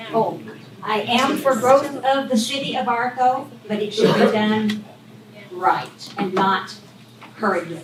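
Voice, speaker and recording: Very slowly and with long, frequent pauses, a woman speaks at a fairly high pitch with ordinary pitch variation, amid audible room echo and noticeable background noise. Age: 80s+. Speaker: resident speaking at public meeting. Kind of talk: public comment. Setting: public meeting.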